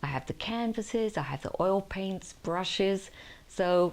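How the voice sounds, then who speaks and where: A woman uses a plain, everyday voice, fairly low in pitch, at a fairly slow pace. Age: 60s. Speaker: lifestyle vlogger. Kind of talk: casual talk to camera. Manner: warm, chatty.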